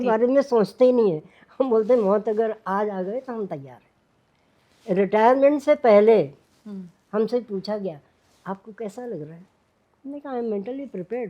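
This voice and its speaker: Pausing long and often, a woman with a fairly high pitch and a dark, mellow tone speaks with ordinary pitch variation and big swings in loudness. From India. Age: 80s+. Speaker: cooking channel personality, retired teacher. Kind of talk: interview answer.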